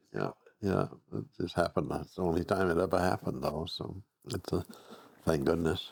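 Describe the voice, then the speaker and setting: A man with a very deep, low pitch and vocal fry speaks at a fairly quick pace. His intonation is lively, with long, frequent pauses. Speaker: retired school principal. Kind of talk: casual chat.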